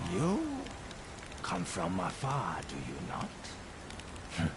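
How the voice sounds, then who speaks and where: A man uses a put-on character voice, very deep and low in pitch, at a very slow pace. Loud background noise runs behind him. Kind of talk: formal old-fashioned speech. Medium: game stream. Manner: measured, archaic, philosophical.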